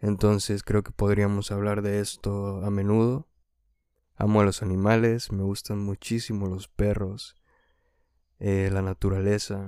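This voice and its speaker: In a very clean recording with a silent background, a man with a fairly low pitch speaks at a fairly slow pace in a dark, mellow tone with monotone, flat intonation. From Mexico, Hidalgo. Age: 20s. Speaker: singer-songwriter and student. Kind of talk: unscripted solo podcast introduction. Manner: unscripted, with some hesitations.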